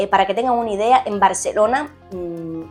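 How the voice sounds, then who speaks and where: A woman speaks in a Cuban accent at a medium pitch and a moderate pace. Her pitch varies in an ordinary way as music plays in the background. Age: 20s. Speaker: sports journalist. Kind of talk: casual talk to camera; informational guide.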